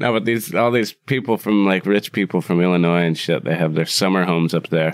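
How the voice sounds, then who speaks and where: Music plays in the background. A man speaks in a very deep, low pitch with an American accent. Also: ordinary pitch variation, very even loudness. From US Midwest, Wisconsin. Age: 30s. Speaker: bar owner and cook. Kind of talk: casual interview chat. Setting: room above his bar.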